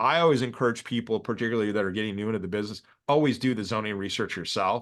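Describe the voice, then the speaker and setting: The speech races at a very fast pace with ordinary pitch variation over a quiet background. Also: man, medium pitch for a man. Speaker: real estate developer teaching a course. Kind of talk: lecture on a video call. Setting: video call.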